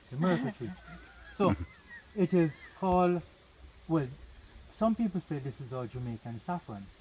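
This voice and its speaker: Over noticeable background noise, a man with a fairly high voice speaks at a moderate pace, his pitch swinging very widely between long, frequent pauses. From Jamaica, Annotto Bay, St Mary. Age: 60s. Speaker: tour guide. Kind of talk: guided tour talk. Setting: outdoors on a plantation. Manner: animated.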